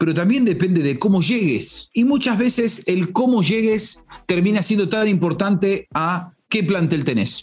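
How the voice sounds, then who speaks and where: A high-pitched man at a fairly slow pace, with lively intonation and hardly any pauses. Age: 40s. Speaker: football pundit. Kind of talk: solo football commentary podcast.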